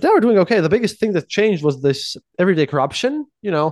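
In a Latvian accent, the speaker moves at a fairly quick pace with lively intonation. The sound is dry and close with no echo, over a quiet background. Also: man. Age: 30s. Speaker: history podcaster. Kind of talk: casual chat. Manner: halting.

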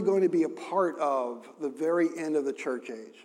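A loud man speaks at a moderate pace with lively intonation. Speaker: pastor. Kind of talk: sermon. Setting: church. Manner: loud, animated.

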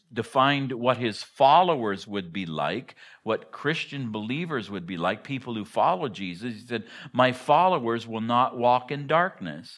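A man with a Canadian accent and an ordinary speaking voice, medium in pitch, with lively intonation and a fairly slow pace, against a quiet background. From rural eastern Ontario, Canada. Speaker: pastor. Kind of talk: sermon. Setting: church.

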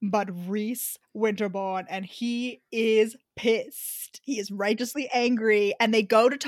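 The reading aloud is plain and fairly even in intonation. All is quiet behind it.

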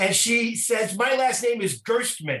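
Moderately paced speech from a man in an American accent, with ordinary pitch variation over noticeable background noise. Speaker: stand-up comedian and ship entertainer. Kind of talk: casual interview chat, telling anecdotes.

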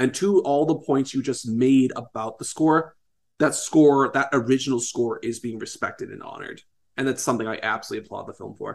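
A man at medium pitch, fairly quick, with ordinary pitch variation and big swings in loudness. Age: 30s. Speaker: pop culture critic. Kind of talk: casual chat.

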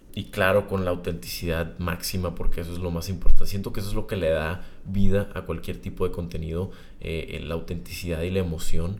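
Very deep and low, a man's voice moves at a fairly quick pace with fairly even intonation. His loudness swings widely, and the room echo is audible. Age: 20s. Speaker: podcast host. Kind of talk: casual monologue. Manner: casual, conversational.

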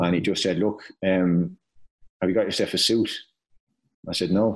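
Over a quiet background, a man with a Tipperary accent talks fairly quickly in a very deep, low voice. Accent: Irish (Tipperary). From Ireland, County Tipperary. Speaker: professional footballer. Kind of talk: casual interview.

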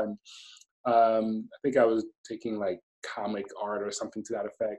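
A man at medium pitch, fairly quick pace, dark, mellow tone. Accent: American. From Brooklyn, New York. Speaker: UX designer. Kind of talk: interview. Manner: halting, many fillers.

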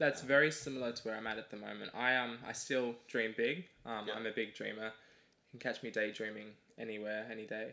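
Using an Australian accent, a man speaks at a very fast pace with a medium pitch, a bright, sharp tone, fairly even intonation and big swings in loudness. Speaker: podcast host. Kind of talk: casual chat.

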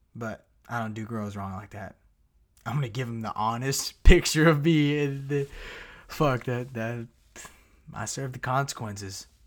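A man speaks at a medium pitch with ordinary pitch variation. He leaves long, frequent pauses. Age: 20s. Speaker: podcast host. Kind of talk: solo podcast monologue.

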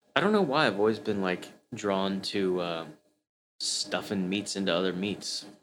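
In an American accent, a man with an unremarkable speaking voice talks at a moderate pace and a fairly low pitch, with ordinary pitch variation. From Maryland and US South. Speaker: chef and butcher. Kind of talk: casual chat.

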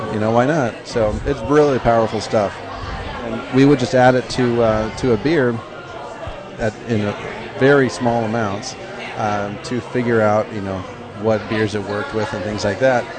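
A man's voice with an American accent, fairly slow and fairly even in intonation, with audible room echo and crowd noise in the background. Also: medium pitch for a man. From San Diego, California. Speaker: brewery co-owner. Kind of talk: casual chat. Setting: at a brewery.

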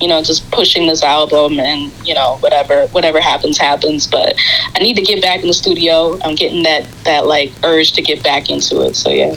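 A woman with a New York accent at a fairly quick pace, very even loudness and noticeable background noise. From Queens, New York. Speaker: R&B singer and radio host. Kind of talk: interview.

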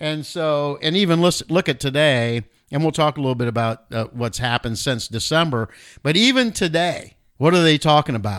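Over a silent background in a very clean recording, a man talks at a fairly quick pace with lively intonation. He has an ordinary speaking voice and a fairly high pitch. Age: 60s. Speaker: financial advisor, podcast co-host. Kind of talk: casual chat about markets.

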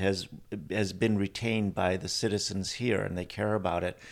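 On a very clean recording with a silent background, a man with an Upper Midwest accent talks at a moderate pace. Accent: Upper Midwest American. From Wisconsin, Milwaukee area. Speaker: playwright and director. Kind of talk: casual interview. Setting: on location in Door County.

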